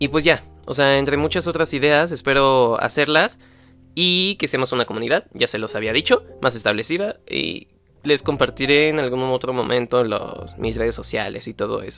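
Bright and sharp in tone, a man's fairly high-pitched voice carries lively intonation. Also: moderate pace. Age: young. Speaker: podcaster. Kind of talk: casual monologue. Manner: halting.

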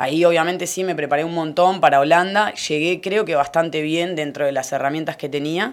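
A woman with an unremarkable speaking voice talks at a fairly quick pace and fairly low pitch, with ordinary pitch variation and hardly any pauses. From Argentina, Necochea. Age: 30s. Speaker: lifesaving sport athlete. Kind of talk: interview.

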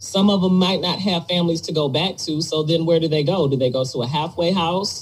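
At a fairly quick pace and with hardly any pauses, a woman speaks in a fairly low pitch with ordinary pitch variation. Noticeable background noise is present. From Detroit, US Midwest. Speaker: podcast host. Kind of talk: casual chat.

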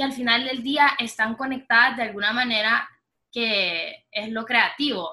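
The woman talks at a fairly slow pace. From Honduras. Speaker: podcast co-host, designer. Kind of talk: casual chat.

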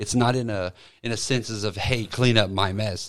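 Fairly low-pitched male voice with fairly even intonation. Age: 30s. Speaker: retail assistant manager. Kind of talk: casual chat.

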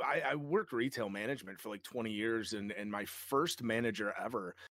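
A man with a Midwestern American accent talks at a medium pitch and a moderate pace. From Michigan, south of Detroit. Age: 40s. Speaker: Twitch streamer. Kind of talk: casual chat.

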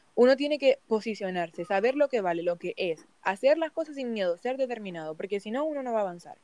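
In a fairly high pitch with very wide pitch swings, a woman with a dark, mellow tone talks at a very fast pace with hardly any pauses, in a dry, close sound with no echo. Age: 20s. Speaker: migrant small baker. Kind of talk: interview.

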